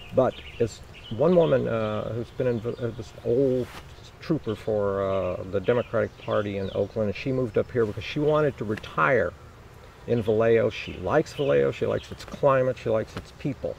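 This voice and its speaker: Medium-pitched male voice with lively intonation at a moderate pace, set against noticeable background noise. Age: 60s. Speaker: mayoral candidate. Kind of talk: interview.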